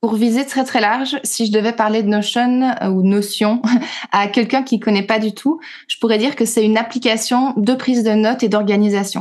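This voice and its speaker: In a quiet background, a woman with a plain, everyday voice speaks at a moderate pace and a fairly high pitch, with ordinary pitch variation. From Belgium. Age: 30s. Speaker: teacher and trainer. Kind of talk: casual interview chat.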